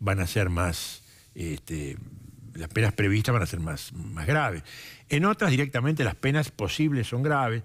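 Over a quiet background, a man's somewhat breathy voice moves through very wide pitch swings. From Argentina. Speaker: prosecutor. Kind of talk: TV interview. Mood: calm, measured, serious. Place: studio. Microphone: headset.

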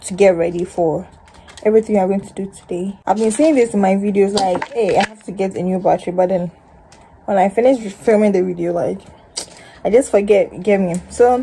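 Speaking at a fairly quick pace, a woman has a somewhat breathy voice with a dark, mellow tone and ordinary pitch variation over light background noise. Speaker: vlogger. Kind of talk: casual vlog chat. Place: home room. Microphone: phone near.

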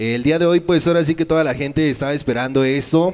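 This man talks at a fairly quick pace. He speaks with a Mexican accent. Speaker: show co-host. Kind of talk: casual interview. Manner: animated. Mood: friendly, casual. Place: studio. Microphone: handheld.

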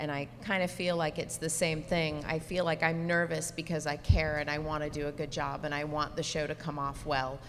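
Over light background noise, a woman talks at a moderate pace in a very deep, low, monotone voice with flat intonation. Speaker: teleprompter operator and stage manager. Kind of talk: panel discussion. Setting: stage with audience. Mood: candid, reflective. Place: hall.

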